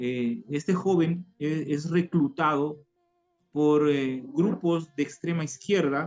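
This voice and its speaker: Speaking at a very slow pace, a man with an Ecuadorian accent uses a fairly high pitch with ordinary variation. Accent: weak local Tulcán. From Ecuador, Tulcán (northern highlands). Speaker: former guerrilla member giving conversion testimony. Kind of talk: testimony. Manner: halting, many repetitions and fillers.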